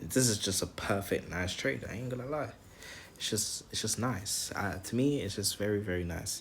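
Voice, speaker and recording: Somewhat breathy and fairly low, a man speaks at a moderate pace with ordinary pitch variation. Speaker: trading vlogger. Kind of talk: screen-recorded trading tutorial. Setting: home, screen recording. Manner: stuttering, repeats words; casual, slangy.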